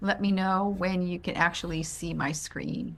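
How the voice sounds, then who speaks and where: A woman speaks in an American accent. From Worcester, Massachusetts. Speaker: amphibian conservation volunteer. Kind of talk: online presentation. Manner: halting, many fillers.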